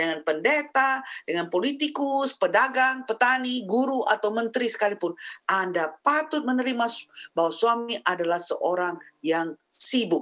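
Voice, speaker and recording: Very wide pitch swings run through speech at a moderate pace against a quiet background. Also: woman. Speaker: pastor's wife and marriage counselor. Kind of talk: teaching talk on marriage. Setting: video call from the United States. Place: home room. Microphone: webcam.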